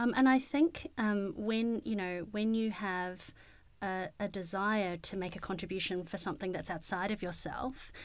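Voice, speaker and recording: A woman with a New Zealand accent speaks at a moderate pace and medium pitch, her pitch varying in an ordinary way, in a very clean recording with a silent background. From New Zealand, Wellington. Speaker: paediatrician. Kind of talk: interview conversation. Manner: calm; clear and concise.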